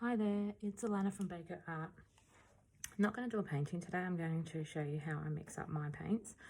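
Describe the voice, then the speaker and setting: With an Australian accent, a woman talks at a fairly quick pace in a fairly low, somewhat breathy voice with ordinary pitch variation. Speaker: acrylic pour artist. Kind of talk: tutorial. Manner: casual, hesitant with fillers.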